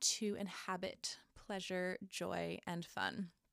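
A woman's medium-pitched voice at a very slow pace, on a very clean recording with a silent background and a dry, close sound with no echo. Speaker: podcast host and Reiki healer. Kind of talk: casual solo monologue; tarot reading. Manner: casual with frequent fillers and laughs.

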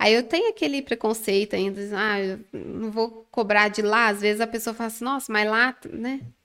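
A woman speaks at a moderate pace with hardly any pauses. Her fairly high voice is bright and sharp, with fairly even intonation. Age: 20s. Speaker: manicure and nail instructor. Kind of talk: casual interview. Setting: studio.

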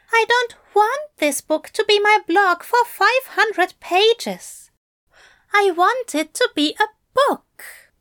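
A woman puts on a squeaky character voice at an extremely high pitch. She speaks at a very slow pace. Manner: miserable.

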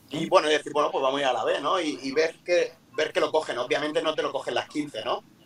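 A man rattles off his words very fast while noticeable noise fills the background. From Murcia, Spain. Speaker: basketball coach. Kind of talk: interview. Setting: video call from a parked car.

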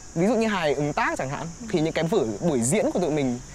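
A man's voice with very wide pitch swings at a fairly quick pace, over noticeable background noise. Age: 20s. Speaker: recent graduate and stage performer. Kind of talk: casual interview.

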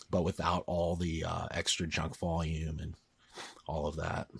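A man speaks quietly at a moderate pace. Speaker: strength coach. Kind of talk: casual chat.

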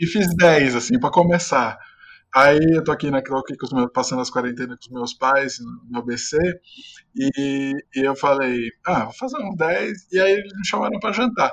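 A plain, everyday voice with lively intonation and big swings in loudness. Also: man, fairly high pitch for a man, moderate pace. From Brazil, São Caetano do Sul (ABC Paulista, São Paulo). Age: 20s. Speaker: journalist and author. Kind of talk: interview.

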